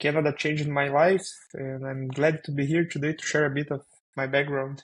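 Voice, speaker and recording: A man with a Brazilian Portuguese accent talks at a fairly quick pace in a fairly high pitch, his intonation monotone and flat. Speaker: software developer. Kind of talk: podcast interview. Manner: halting, many fillers.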